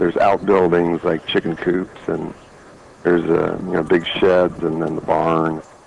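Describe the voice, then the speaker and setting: Noticeable background noise sits behind this man. He speaks with a very deep, low pitch in a monotone, flat intonation. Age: 60s. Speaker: retired physician and cancer patient. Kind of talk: testimony.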